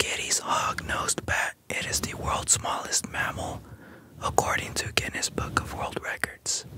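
The whispering moves at a fairly slow pace. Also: man. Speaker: ASMR artist; ASMR creator. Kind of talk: ASMR sleep fact narration. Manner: whispered. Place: home room. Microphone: studio mic.

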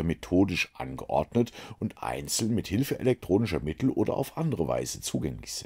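In a very clean recording with a silent background and a dry, close sound with no echo, a man speaks at a fairly slow pace with vocal fry and very wide pitch swings. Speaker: reader of texts. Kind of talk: narrated reading of a legal text.

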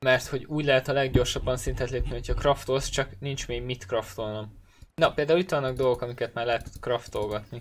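A man's somewhat breathy voice at a fairly quick pace, with fairly even intonation. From Hungary. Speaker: gaming streamer. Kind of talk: live gameplay commentary. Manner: casual, thinking aloud.

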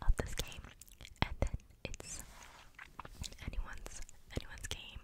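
A woman whispers, soft-spoken. Her pace is moderate. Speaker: content creator. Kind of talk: casual vlog chat, soft ASMR-style talk. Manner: soft articulated whisper close to mic. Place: home room. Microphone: studio mic.

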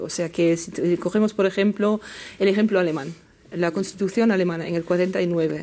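The tone is dark and mellow. Delivery comes at a fairly slow pace in monotone, flat intonation. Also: woman. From Germany. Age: 50s. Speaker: journalist and gender consultant; journalist. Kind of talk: panel discussion. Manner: halting. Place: studio. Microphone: lapel.

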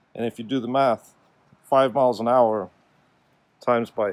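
Fairly even intonation at a fairly quick pace. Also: man. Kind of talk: casual vlog chat. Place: street. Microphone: phone near.

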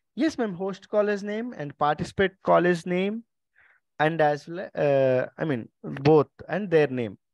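The speaker has an Indian accent and lively intonation, at a fairly slow pace. The sound is dry with no echo, and the background is quiet. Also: man, high pitch for a man. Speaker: company representative hosting meeting with college coordinators. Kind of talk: online meeting presentation. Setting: video call. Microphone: video call.

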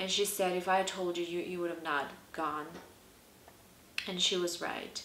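A woman talks in a monotone, flat intonation, with audible room echo and light background noise. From southern Belarus. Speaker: personal storyteller. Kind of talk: personal story told to camera. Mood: serious, reflective, hesitant. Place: home room.

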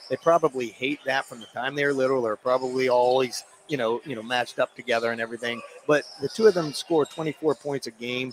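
A man at a fairly quick pace, ordinary pitch variation, light background noise and a dry sound with no echo. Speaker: basketball color commentator. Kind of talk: live sports commentary. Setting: courtside at a high school gym. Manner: enthusiastic. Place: hall.

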